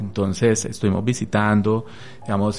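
Monotone, flat intonation from a man at a fairly low pitch. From Colombia, Tolima (Armero). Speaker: radio presenter and communications lecturer. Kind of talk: radio interview. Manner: halting, many fillers.

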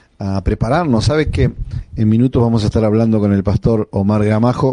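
Noticeable background noise behind a man's voice with ordinary pitch variation. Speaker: pastor and radio host. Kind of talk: radio devotional and interview.

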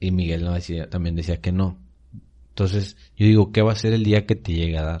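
A man talks at a moderate pace in a dark, mellow tone that is somewhat breathy. His pitch varies in an ordinary way over a quiet background. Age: young. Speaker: church youth podcast co-host. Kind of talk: casual chat.

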